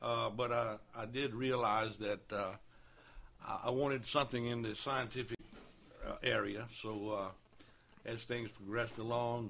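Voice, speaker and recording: Speaking at a moderate pace, a man with a Southern Louisiana accent keeps a monotone, flat intonation. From Louisiana, New Roads. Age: 60s. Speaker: city council candidate. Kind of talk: radio interview. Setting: studio.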